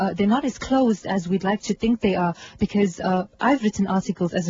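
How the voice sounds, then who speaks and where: Noticeable background noise sits behind a woman who speaks fairly quickly. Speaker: journalist. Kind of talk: radio interview. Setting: studio.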